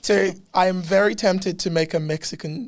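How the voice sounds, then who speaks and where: A man talks in an animated tone with ordinary pitch variation. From Africa. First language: not English. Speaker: podcast host. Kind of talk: casual interview chat.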